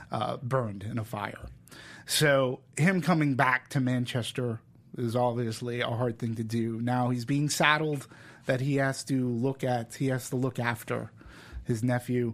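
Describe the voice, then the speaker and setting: With an American accent, a man speaks in an ordinary speaking voice at medium pitch, with fairly even intonation and a fairly slow pace. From Massachusetts (Peabody, near Boston). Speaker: film podcast host. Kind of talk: casual chat.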